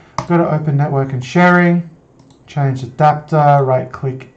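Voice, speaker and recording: A man talks with fairly even intonation. Room echo is audible. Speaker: IT tutorial presenter. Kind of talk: screen-recorded tutorial. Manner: fast; hesitant, with fillers and restarts.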